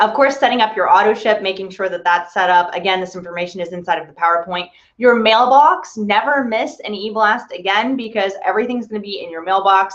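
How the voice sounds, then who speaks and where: Delivery comes at a fairly quick pace with ordinary pitch variation. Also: woman. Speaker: digital media specialist hosting company webinar. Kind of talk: tutorial. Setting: online video hangout. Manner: fast.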